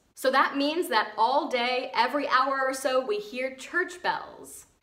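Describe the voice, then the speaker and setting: Over noticeable background noise, a woman with an American accent talks in a high pitch with ordinary pitch variation. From United States. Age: 20s. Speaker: vlogger. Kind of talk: casual talk to camera.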